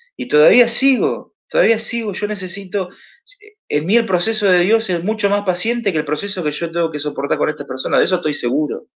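With lively intonation, a man speaks at a high pitch and a fairly quick pace. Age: 30s. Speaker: pastor. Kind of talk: interview.

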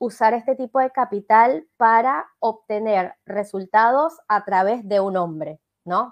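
A woman with a Venezuelan accent talks at a very slow pace. Her pitch is fairly high, with ordinary variation. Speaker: life coach and speaker. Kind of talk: interview on a live show.

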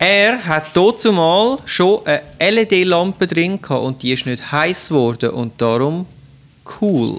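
Speaking at a very slow pace, a man uses a high voice. His pitch swings very widely. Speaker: podcast co-host. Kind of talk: casual chat with partly read-out history.

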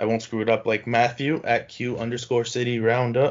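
A man's medium-pitched voice moves along at a moderate pace. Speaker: podcast host. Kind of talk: casual chat.

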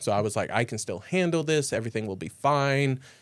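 At a fairly quick pace, a man talks in an ordinary speaking voice on a very clean recording with a silent background. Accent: American. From St. Louis area, Missouri/Illinois. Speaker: gym and meal prep business owner. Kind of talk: casual interview. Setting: studio.

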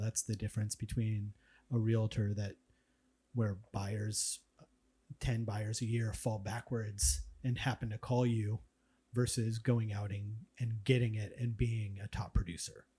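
A man with a dark, mellow, somewhat breathy tone talks at a fairly slow pace in a monotone, flat intonation, recorded very cleanly against a silent background. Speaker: podcast host. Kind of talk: casual chat.

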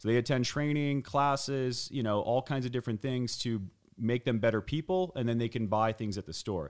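A man with an American accent speaks at a fairly quick pace in a medium pitch, with ordinary pitch variation and an unremarkable speaking voice. The recording is very clean, with a silent background. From Arizona (Scottsdale). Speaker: moving company co-founder and CEO. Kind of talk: casual interview.

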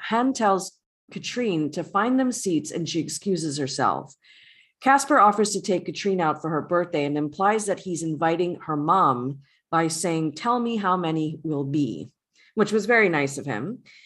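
A woman with a normal speaking voice talks at a moderate pace, her fairly low pitch carried by lively intonation. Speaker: podcast co-host. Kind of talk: casual recap discussion. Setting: home recording, remote.

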